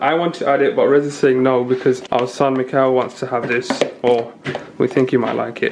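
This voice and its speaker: A man talks at a moderate pace. Noticeable noise sits in the background. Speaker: cooking video host. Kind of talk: cooking tutorial. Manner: casual, chatty.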